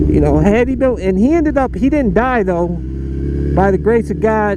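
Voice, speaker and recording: Speaking with an American accent, a man is heard amid noticeable background noise and audible room echo. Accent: inner-city urban American, noticed by viewers. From US Midwest, inner-city Cleveland, Ohio. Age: adult, college graduate. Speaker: motorcycle vlogger. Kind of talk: casual motovlog monologue. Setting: riding a motorcycle outdoors.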